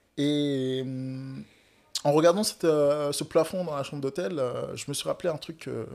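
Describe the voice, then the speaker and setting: A man's voice, pitched fairly high. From West Africa (Togo/Benin). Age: 20s. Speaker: painter. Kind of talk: casual chat.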